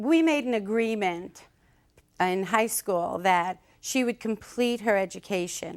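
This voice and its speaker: With a Brooklyn accent, a woman speaks at a fairly slow pace and medium pitch, with ordinary pitch variation and very even loudness. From Brooklyn, New York. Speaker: mother in a dispute. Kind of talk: courtroom testimony.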